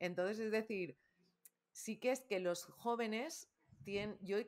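An unremarkable speaking voice, this woman talks fairly slowly at medium pitch with ordinary pitch variation. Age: 50s. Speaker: communication coach and trainer. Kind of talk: interview.

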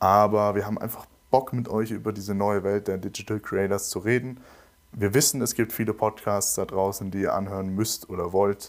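In a flat, monotone delivery, a man with a fairly low voice speaks at a moderate pace. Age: young. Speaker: podcast host and photographer. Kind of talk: casual chat. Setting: video call.

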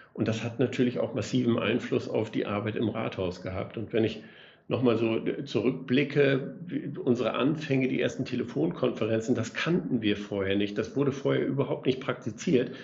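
Somewhat breathy, this man's voice sits at a medium pitch, with ordinary pitch variation and a moderate pace. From northwest Germany (Oldenburg area). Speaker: mayor. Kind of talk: casual interview.

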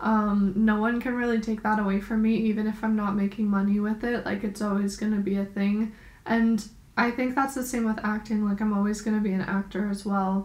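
The speaker has an American accent and a somewhat breathy voice, moving at a fairly quick pace. The intonation is monotone and flat, and the loudness is very even. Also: woman, fairly high pitch for a woman. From New York. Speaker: podcast co-host. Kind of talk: casual chat.

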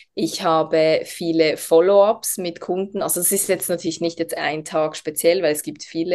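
Speaking fairly slowly, a woman with a Swiss accent uses a fairly low pitch and fairly even intonation. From Switzerland, Basel region. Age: 30s. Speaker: essential oils network marketer. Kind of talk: podcast interview.

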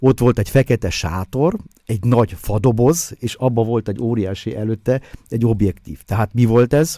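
In a dark, mellow tone, a man speaks at a moderate pace and medium pitch with ordinary pitch variation, recorded very cleanly against a silent background with a dry, close sound and no echo. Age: 60s. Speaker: photographer and author. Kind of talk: casual chat. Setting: studio.

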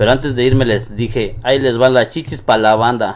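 A man talks at a fairly quick pace. His voice sits at a medium pitch. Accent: Mexican. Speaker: streamer interviewing a guest. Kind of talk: casual chat.

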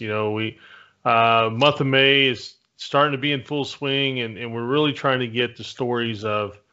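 Speaking at a moderate pace, a man with an ordinary speaking voice keeps a medium pitch and fairly even intonation. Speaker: podcast co-host. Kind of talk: casual chat.

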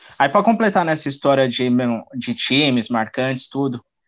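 This man has a fairly high pitch and keeps a moderate pace. The background is quiet. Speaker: podcast host. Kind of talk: casual chat. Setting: live stream.

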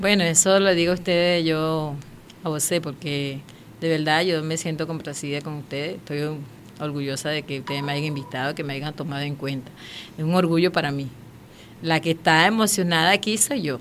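Ordinary pitch variation in a very deep, low female voice. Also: moderate pace. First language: Warao (speaking Spanish). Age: 40s. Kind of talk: interview testimony.

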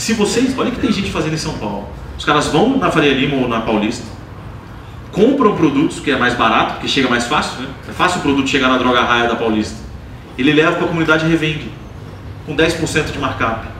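Man with a fairly high voice at a fairly quick pace, lively intonation and long, frequent pauses, with audible room echo and noticeable background noise. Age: 30s. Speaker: angel investor. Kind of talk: live onstage interview. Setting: stage with audience.

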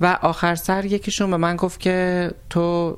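Woman with an ordinary speaking voice at medium pitch, on a very clean recording with a silent background. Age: 30s. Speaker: cook and transgender interviewee. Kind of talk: interview.

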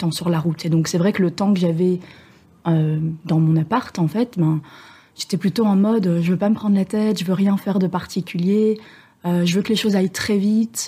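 A woman speaks with a fairly low pitch and a dark, mellow tone that is somewhat breathy. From Belgium. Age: 30s. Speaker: sailor, former traveling professional. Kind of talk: casual interview.

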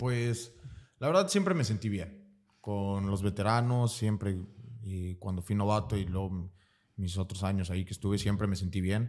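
An unremarkable speaking voice: a man with a fairly low pitch, fairly even intonation and a moderate pace, on a very clean recording with a silent background. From Mexico, Veracruz. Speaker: American football player. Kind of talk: casual interview.

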